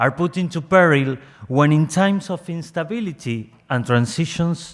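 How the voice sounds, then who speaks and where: A man speaks with a Spanish accent at a fairly slow pace. His pitch varies in an ordinary way. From Argentina. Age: young. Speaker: civil society delegate. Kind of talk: prepared statement read aloud. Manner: reading from script.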